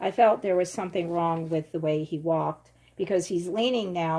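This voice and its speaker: A woman speaks with a Philadelphia accent. Her pitch variation is ordinary. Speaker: true crime YouTuber. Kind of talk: casual vlog commentary.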